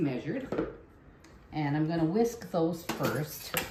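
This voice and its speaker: Amid noticeable background noise and audible room echo, a woman speaks fairly slowly with very wide pitch swings. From Canadian Prairies. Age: 60s. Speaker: home cooking video host. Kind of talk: cooking tutorial. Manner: casual, chatty.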